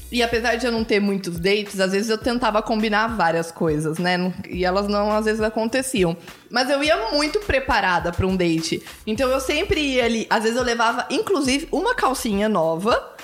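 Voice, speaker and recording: Despite noticeable background noise, a woman's fairly high voice comes through at very even loudness, with lively intonation at a moderate pace. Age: 30s. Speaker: podcast co-host. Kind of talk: casual chat.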